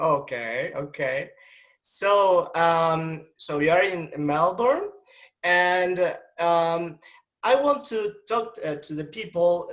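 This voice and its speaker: A man at a high pitch with ordinary pitch variation and a very slow pace, on a very clean recording with a silent background. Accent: Argentine. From Argentina. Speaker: doctor and interviewer. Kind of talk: scripted introduction; interview. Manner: halting.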